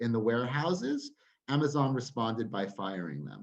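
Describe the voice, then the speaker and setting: This man has a normal speaking voice and an American accent. He keeps a moderate pace with ordinary pitch variation. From United States. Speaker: trade union campaigns director. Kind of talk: webinar talk.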